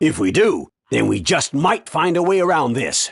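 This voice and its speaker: Against a quiet background, a man uses a put-on character voice with lively intonation. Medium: short film. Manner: brash, scolding.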